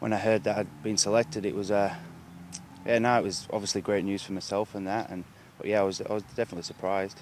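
A man's fairly low, fairly evenly intoned voice at a very fast pace, with dry sound with no echo and light background noise. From Halifax, England. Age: 20s. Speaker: rugby league player. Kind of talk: interview answer. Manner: casual, hesitant. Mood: pleased, modest. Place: open country. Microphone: handheld.

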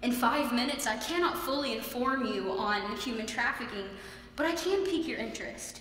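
Her voice high-pitched, a woman talks at a fairly quick pace with lively intonation, with light background noise and audible room echo. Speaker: student contestant. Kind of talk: persuasive speech. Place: hall. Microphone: podium.

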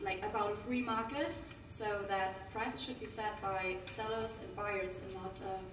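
Recorded with audible room echo and noticeable background noise, a woman talks at a moderate pace with ordinary pitch variation. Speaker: presenter. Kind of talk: group presentation. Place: hall. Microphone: camera far.

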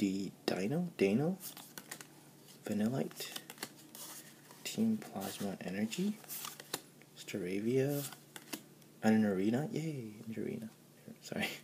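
The speech moves at a very slow pace with long, frequent pauses against noticeable background noise. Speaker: college student. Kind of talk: casual talk to camera. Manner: excited.

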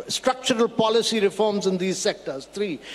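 A man speaks at a high pitch with fairly even intonation. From India. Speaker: government policy official; panelist. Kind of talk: panel discussion. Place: hall. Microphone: handheld.

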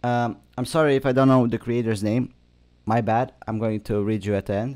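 A man's voice comes through over a quiet background. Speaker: gaming video creator. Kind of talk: casual gaming commentary. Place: home room.

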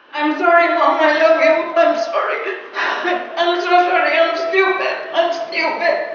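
A woman talks at a fairly slow pace in an extremely high, monotone voice with flat intonation, amid strong room echo and light background noise. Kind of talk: acted drama dialogue.

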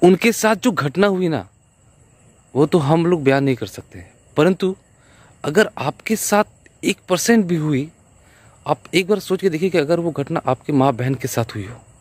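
Lively in intonation and fairly high in pitch, a man's voice moves at a fairly slow pace in a dry sound with no echo. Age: 30s. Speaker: vlogger; video blogger giving opinion. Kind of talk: vlog movie reaction. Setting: outdoors riding a bicycle. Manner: halting. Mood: earnest, impassioned. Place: open country. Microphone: phone near.

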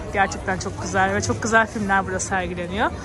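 A woman speaks in a dry recording with no echo while crowd noise murmurs in the background. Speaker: vlogger giving market tour. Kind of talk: casual vlog chat. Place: market. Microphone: phone near.

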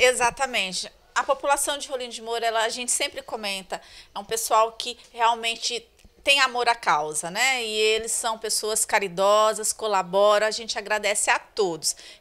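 At a moderate pace, a woman speaks in a bright, sharp tone with ordinary pitch variation and big swings in loudness. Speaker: school staff organizer. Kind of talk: interview answers. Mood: cheerful, grateful. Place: home room. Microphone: handheld.

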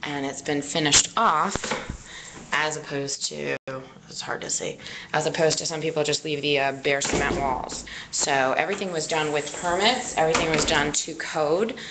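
Over loud background noise, a woman speaks with ordinary pitch variation. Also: moderate pace. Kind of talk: property tour narration. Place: home room. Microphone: phone near.

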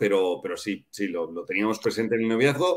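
A fairly quick delivery in a Castilian accent against a quiet background. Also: man. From Spain. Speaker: father of adoptive family; interview guest. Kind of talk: interview. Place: home room.

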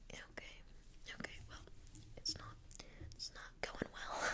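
A woman whispering at a moderate pace. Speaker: role-play content creator. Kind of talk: role-play chat addressed to viewer. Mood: playful, mock apologetic. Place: home room. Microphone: earbuds.

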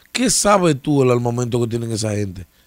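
A man at medium pitch and moderate pace, with a dry sound, no echo and a quiet background. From Dominican Republic. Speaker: political commentator. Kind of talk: casual political discussion. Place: studio. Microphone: studio mic.

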